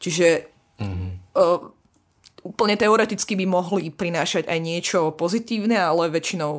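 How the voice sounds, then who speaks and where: Pitched fairly low, a woman speaks in a normal speaking voice with ordinary pitch variation. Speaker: PhD student in biotechnology. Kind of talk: casual chat.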